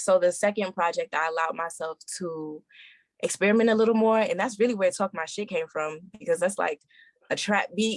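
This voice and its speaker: Delivered at a fairly quick pace with an American accent, an unremarkable speaking voice with ordinary pitch variation comes through with a dry, close sound with no echo. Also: woman, medium pitch for a woman. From New York. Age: 20s. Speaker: R&B singer. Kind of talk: podcast interview.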